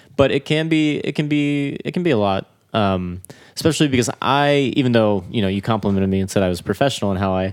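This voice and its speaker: Fairly low in pitch and with an American accent, a man talks at a fairly quick pace in an ordinary speaking voice, his pitch varying in an ordinary way. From Florida. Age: 20s. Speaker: drummer. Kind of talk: casual chat.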